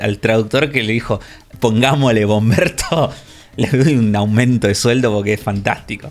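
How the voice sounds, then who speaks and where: Someone with a Rioplatense accent speaks at a fairly slow pace with ordinary pitch variation. The loudness stays very even, and music plays in the background. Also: man. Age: 30s. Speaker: video game podcast co-host. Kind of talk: casual chat.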